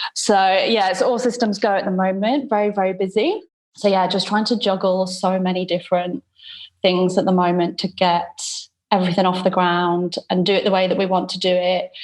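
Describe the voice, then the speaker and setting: The speaker has a British accent and a fairly quick pace. Intonation stays fairly even over a quiet background. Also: woman, medium pitch for a woman. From UK. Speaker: wedding photographer. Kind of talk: coaching call.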